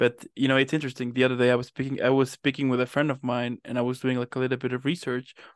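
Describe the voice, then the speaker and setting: Over a quiet background, a man talks at a very fast pace and a medium pitch, with a dry, close sound and no echo. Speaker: interviewer. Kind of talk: casual interview. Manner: animated.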